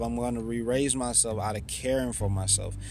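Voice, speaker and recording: Audible room echo is present. A man speaks fairly quickly, his intonation fairly even. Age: 30s. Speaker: podcaster and author. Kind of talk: solo podcast monologue.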